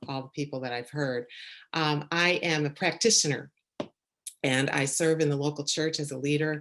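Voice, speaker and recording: Her voice is very deep and low, with a Chicago accent. She keeps a moderate pace and fairly even intonation. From Chicago suburbs. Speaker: church leader and leadership coach. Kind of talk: talk, conference lecture.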